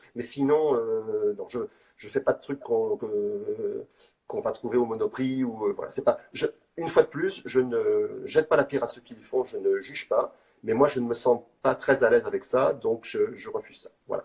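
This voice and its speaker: Big swings in loudness run through a man's speech at a moderate pace. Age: 60s. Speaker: street artist. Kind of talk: interview. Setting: live video call. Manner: halting.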